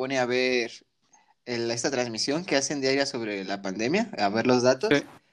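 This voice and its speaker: In an unremarkable speaking voice of medium pitch, a man talks at a moderate pace with lively intonation. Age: 20s. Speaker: podcast co-host. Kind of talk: casual chat.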